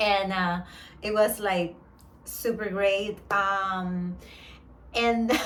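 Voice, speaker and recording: In a room with audible echo, a woman speaks in an animated tone with a Spanish accent. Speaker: vlogger. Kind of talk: casual vlog monologue.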